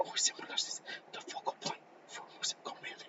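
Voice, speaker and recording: Whispering from a man at a moderate pace. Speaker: student presenter. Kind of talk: class presentation. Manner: halting.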